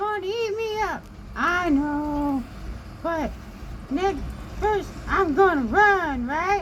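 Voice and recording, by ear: A put-on character voice at an extremely high pitch, very slow, with long, frequent pauses over clear background noise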